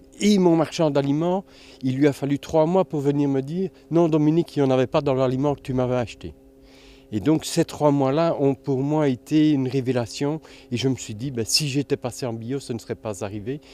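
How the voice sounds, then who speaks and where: A man speaks at a moderate pace with fairly high pitch and ordinary pitch variation. The sound is dry and close with no echo, and music plays in the background. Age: 60s. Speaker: organic farmer. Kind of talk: interview testimony. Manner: halting, many repetitions.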